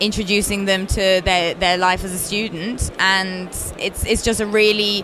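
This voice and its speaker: Woman with a British accent, medium pitch and flat, monotone intonation, against noticeable background noise. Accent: very British. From Italy. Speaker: games company founder. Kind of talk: interview.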